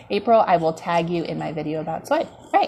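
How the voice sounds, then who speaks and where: A woman speaks over noticeable background noise. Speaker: wellness coach. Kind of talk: live stream talk. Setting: home dining room. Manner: fast; casual, many fillers.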